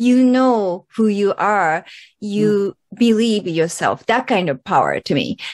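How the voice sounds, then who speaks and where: At a fairly slow pace, a woman speaks with a medium pitch, ordinary pitch variation and very even loudness. The background is quiet and the sound is dry and close with no echo. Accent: Japanese. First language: Japanese. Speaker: podcast host, myofascial therapist. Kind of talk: interview. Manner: animated.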